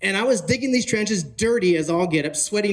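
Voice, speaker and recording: With a West Coast accent, a man talks at a very fast pace in an animated tone, his high pitch showing ordinary pitch variation. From northern California. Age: 40s. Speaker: real estate conference speaker. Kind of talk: motivational talk. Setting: stage with audience.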